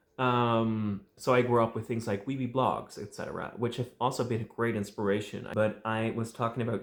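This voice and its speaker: A man talks with a Dutch accent. His voice is medium in pitch. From Netherlands. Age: 20s. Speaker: fan media creator. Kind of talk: vlog monologue. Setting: home recording with tripod and light. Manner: casual, some hesitation.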